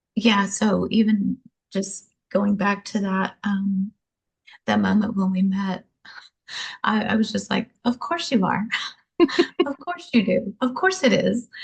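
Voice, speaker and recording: A breathy-edged woman's voice in a medium pitch with an American accent, fairly slow, with ordinary pitch variation and long, frequent pauses. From Louisiana, US South. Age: 60s. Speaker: prison ministry volunteer. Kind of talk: testimony.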